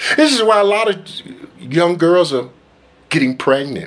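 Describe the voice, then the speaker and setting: A man is speaking. His pace is fairly slow. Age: 50s. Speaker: preacher. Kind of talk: sermon. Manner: emphatic. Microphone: phone near.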